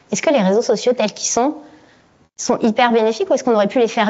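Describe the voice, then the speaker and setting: A very fast pace with ordinary pitch variation. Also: woman. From France. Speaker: neuroscientist. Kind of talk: conference talk.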